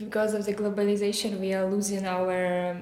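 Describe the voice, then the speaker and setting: The woman's delivery is monotone, with flat intonation throughout. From Belarus. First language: Belarusian or Russian. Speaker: art history student. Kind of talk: casual interview conversation. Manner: halting, many hesitations.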